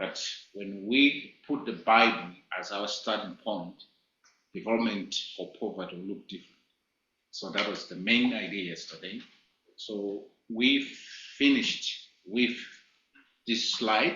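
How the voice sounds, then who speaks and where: A man with a fairly low pitch and ordinary pitch variation speaks at a fairly slow pace, with long, frequent pauses, big swings in loudness, and audible room echo. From Malawi. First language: not English. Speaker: teacher. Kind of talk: lecture.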